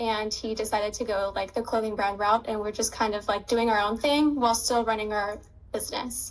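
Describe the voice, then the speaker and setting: In an unremarkable speaking voice, a woman talks fairly quickly at a fairly high pitch. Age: 20s. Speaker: dropshipping student and business owner. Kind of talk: interview. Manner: casual, many fillers.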